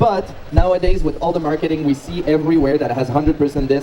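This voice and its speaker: Over noticeable background noise, a man talks at a very fast pace with a fairly high pitch in a French Canadian accent. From Quebec, French Canada. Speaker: cheese presenter at a food show. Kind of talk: live presentation to an audience. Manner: animated.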